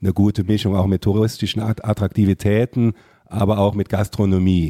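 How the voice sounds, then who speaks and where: A man's fairly low, dark, mellow voice at a fairly quick pace, monotone and flat, in a dry, close, very clean recording with a silent background and no echo. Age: young. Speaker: member of parliament. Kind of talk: political interview podcast.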